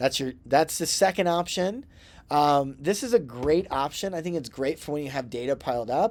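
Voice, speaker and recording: At a moderate pace, a man with an unremarkable speaking voice uses lively intonation on a very clean recording with a silent background. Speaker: instructor. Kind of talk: tutorial. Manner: casual, with fillers.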